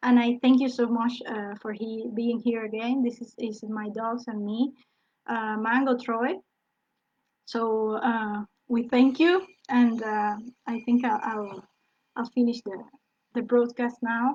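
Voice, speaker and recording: A woman with a non-native accent speaks at a fairly high pitch, leaving long, frequent pauses. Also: fairly even intonation. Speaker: dog trainer. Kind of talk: lecture. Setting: live online broadcast. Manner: halting.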